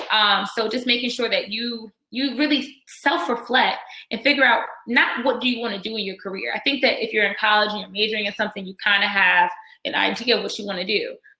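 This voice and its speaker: A woman with an American accent talks at a fairly quick pace in an unremarkable speaking voice, fairly high in pitch with ordinary pitch variation. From Virginia, Norfolk area. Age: 20s. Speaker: dental student and nonprofit founder. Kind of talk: workshop talk. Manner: casual, with many fillers.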